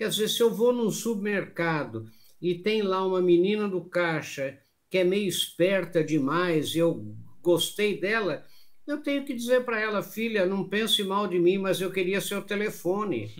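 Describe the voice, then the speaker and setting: Speaking at a fairly slow pace, this man has a high voice. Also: ordinary pitch variation. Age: 70s. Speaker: business lecturer and motivational speaker. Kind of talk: interview.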